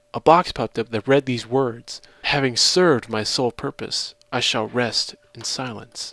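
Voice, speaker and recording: A man with an ordinary speaking voice, pitched in the middle range. His pitch moves a normal amount, and the sound is dry and close with no echo. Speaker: voice-over narrator. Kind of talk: horror story narration.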